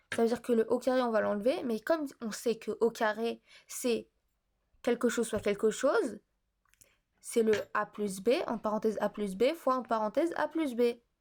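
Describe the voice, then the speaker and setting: On a very clean recording with a silent background, a woman speaks at a moderate pace and a fairly high pitch, with ordinary pitch variation and long, frequent pauses. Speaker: math tutor on video channel. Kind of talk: tutorial. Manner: hesitant, many fillers.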